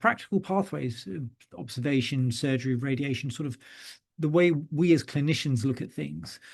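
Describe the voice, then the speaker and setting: Against a quiet background, a man with a British accent speaks at a fairly high pitch with ordinary pitch variation. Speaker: neurosurgeon. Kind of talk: lecture. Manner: frequent hesitations (uh, um).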